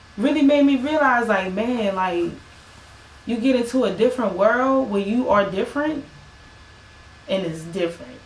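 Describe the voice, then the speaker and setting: Pausing long and often, a woman with an American accent speaks in lively intonation, with audible room echo and noticeable background noise. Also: fairly high pitch for a woman. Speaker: singer and musician. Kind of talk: casual podcast conversation.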